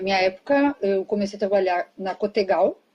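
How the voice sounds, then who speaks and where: A woman speaks in a normal speaking voice. Her pace is moderate, with ordinary pitch variation. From southern Brazil, Rio Grande do Sul. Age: 30s. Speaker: interview guest. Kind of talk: casual interview.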